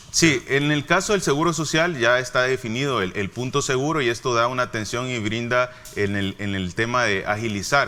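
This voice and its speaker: A man's medium-pitched voice with hardly any pauses, set against noticeable background noise. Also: ordinary pitch variation, moderate pace. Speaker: health official, doctor. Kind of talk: interview.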